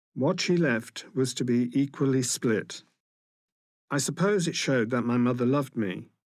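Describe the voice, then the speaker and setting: Speaking at a moderate pace in a British accent, a man with a medium pitch uses lively intonation in a very clean recording with a silent background. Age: 60s. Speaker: person living with HIV. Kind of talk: testimony.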